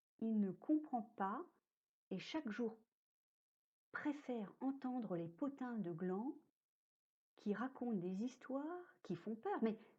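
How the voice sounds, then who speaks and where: Very slow delivery in a dark, mellow tone, with very wide pitch swings and long, frequent pauses. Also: woman, fairly high pitch for a woman. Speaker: storyteller. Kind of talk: read story. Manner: whispered, soft.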